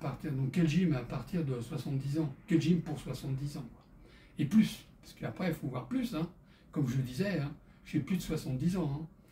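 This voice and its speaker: A man with a fairly high pitch and a dark, mellow tone talks at a moderate pace. His voice is somewhat breathy, with ordinary pitch variation. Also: big swings in loudness. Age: 70s. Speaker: fitness instructor for seniors. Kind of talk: exercise tutorial with casual chat. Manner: halting, many hesitations.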